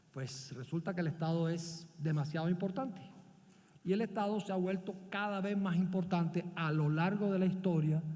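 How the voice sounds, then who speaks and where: A man with a Barranquilla accent, high-pitched yet dark and mellow in tone, at a moderate pace with ordinary pitch variation and audible room echo. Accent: Barranquilla coastal Colombian. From Colombia, Barranquilla (Caribbean coast). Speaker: business leader and visiting professor. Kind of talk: conference talk.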